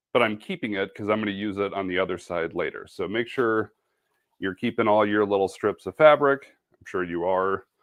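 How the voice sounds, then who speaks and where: A man talks with a Midwestern accent at a moderate pace. The background is quiet. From Wisconsin. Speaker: sewing and embroidery presenter. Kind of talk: live craft tutorial. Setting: home studio, live video broadcast.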